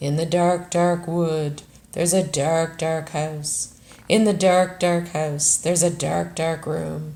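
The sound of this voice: This is a put-on character voice at a middle pitch. The pace is fairly slow.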